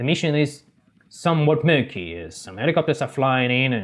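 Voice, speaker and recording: Here a man speaks with lively intonation and a fairly high pitch. He keeps a moderate pace. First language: not English. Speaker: gaming YouTuber. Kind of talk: video game commentary. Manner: halting, self-correcting.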